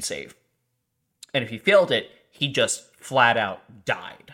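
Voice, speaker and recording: Recorded very cleanly over a silent background, a man speaks with a bright, sharp tone. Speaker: podcast host. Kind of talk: casual chat.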